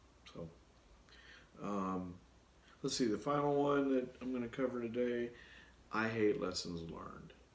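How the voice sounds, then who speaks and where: The speech moves at a fairly slow pace with ordinary pitch variation and long, frequent pauses. Audible room echo surrounds it. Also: man, medium pitch for a man. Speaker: project management consultant and YouTuber. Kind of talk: solo Q&A video talk. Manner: casual with many fillers.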